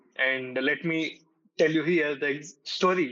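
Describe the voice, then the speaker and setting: A man speaks with a fairly high pitch for a man. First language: not English. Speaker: corporate employee, club member. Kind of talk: podcast interview. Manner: halting, with self-corrections.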